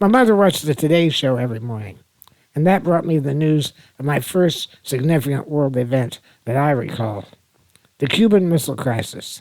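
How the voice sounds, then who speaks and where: A man with an American accent and a normal speaking voice, fairly high in pitch, at a fairly quick pace with lively intonation. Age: 60s. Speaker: podcaster. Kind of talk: personal reminiscence podcast.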